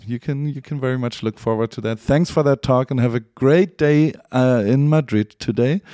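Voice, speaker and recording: At a moderate pace, a dark, mellow tone carries ordinary pitch variation in a dry, close sound with no echo. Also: man. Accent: German. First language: German. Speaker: podcast host. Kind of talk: interview. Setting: remote call.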